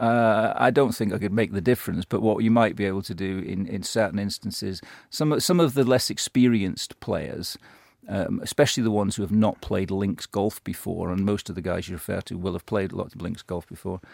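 A man talks at a fairly quick pace in a fairly low pitch, with ordinary pitch variation. It is a normal speaking voice, with a dry, close sound and no echo. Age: 50s. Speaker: golf club professional. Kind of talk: radio interview. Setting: studio.

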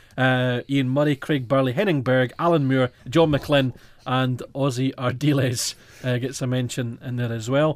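Speaking with a Scottish Highlands accent, a man uses a medium pitch and fairly even intonation. The pace is moderate, and the recording is very clean with a silent background. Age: 20s. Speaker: football fan radio host. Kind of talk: casual chat. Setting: studio.

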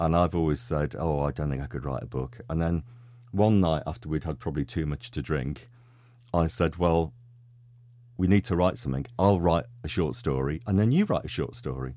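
Lively intonation and a dark, mellow tone carry along at a moderate pace on a very clean recording with a silent background. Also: man, very deep, low pitch for a man. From Liverpool, England. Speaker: novelist. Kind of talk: radio interview. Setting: radio studio.

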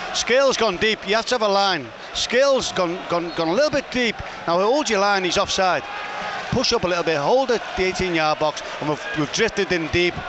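A man with a high pitch talks at a moderate pace, with lively intonation and very even loudness. Noticeable background noise is present. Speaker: football pundit, co-commentator. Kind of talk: live co-commentary, analyst chat.

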